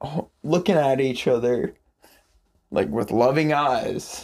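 His intonation moves in a lively way. This man talks at a very slow pace. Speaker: rock musician and songwriter. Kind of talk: casual chat. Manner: animated.

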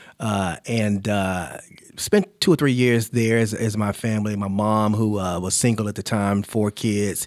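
Speaking with an American accent, a man uses an unremarkable speaking voice at a fairly low pitch and fairly slow pace. His intonation is fairly even, and the recording is very clean with a silent background. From Charlotte, North Carolina. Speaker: nonprofit founder and CEO. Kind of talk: interview.

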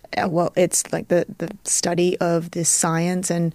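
With an Australian accent, a woman speaks at a fairly slow pace in a fairly low, dark, mellow voice with monotone, flat intonation. The sound is dry and close, with no echo. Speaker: neuroscientist. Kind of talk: casual interview.

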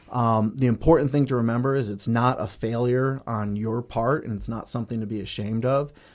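Fairly quick and with hardly any pauses, a man talks in a normal speaking voice with an American accent and fairly even intonation. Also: medium pitch for a man. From US Northeast, Connecticut. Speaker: surgeon. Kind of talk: interview.

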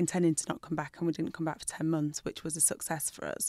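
A woman speaks with a Lancashire accent, her pitch fairly low and her intonation fairly even. The recording is very clean with a silent background. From northern England, Burnley (Lancashire). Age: 40s. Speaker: doctor and TV presenter. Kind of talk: casual interview.

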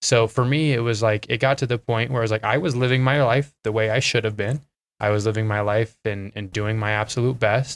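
At a fairly quick pace, a man talks in an Idaho accent. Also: medium pitch for a man, fairly even intonation. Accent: Idaho American. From Twin Falls, Idaho. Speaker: former college basketball player, business developer. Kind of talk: casual interview chat.

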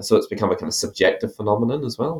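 A man with an Irish accent. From Ireland. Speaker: academic author. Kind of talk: interview about his book.

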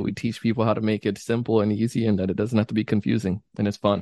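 Here a man talks at a fairly quick pace. The sound is dry and close with no echo, and the background is quiet. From Jamaica, moved to US at nine. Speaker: sales trainer and podcaster. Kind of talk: casual interview chat. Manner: animated.

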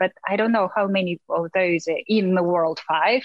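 A woman speaks at a fairly slow pace with a Russian accent. Her pitch varies in an ordinary way. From Russia, small town. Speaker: fashion model. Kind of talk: interview.

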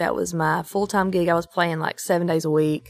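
The speaker has an Eastern Kentucky accent and monotone, flat intonation, in a very clean recording over a silent background. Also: woman. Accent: Eastern Kentucky Appalachian. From East Kentucky. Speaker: country singer-songwriter. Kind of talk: casual interview chat.

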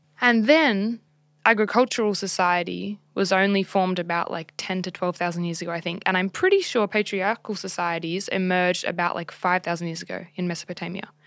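Fairly quick speech in an Australian accent with fairly even intonation. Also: woman, medium pitch for a woman. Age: 20s. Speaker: podcast co-host. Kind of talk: casual chat.

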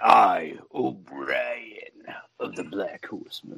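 A raspy, put-on character voice drags along at a very slow pace. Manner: grand, theatrical intro.

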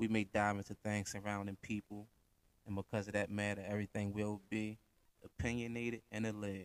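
Recorded with a dry, close sound and no echo, a man speaks with a fairly low pitch and monotone, flat intonation. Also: fairly quick pace. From US, Baltimore, Maryland (Park Heights). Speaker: podcast host. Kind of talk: casual solo monologue. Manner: laid back.

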